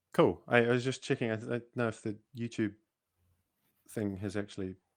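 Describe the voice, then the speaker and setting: This man has a New Zealand accent. The background is quiet. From New Zealand, Auckland. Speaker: cosmologist hosting a science livestream. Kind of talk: casual panel discussion on livestream. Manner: halting, many repetitions. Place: home room. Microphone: video call.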